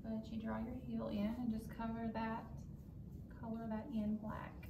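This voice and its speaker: A woman's moderately paced speech sits on top of noticeable background noise. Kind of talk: tutorial.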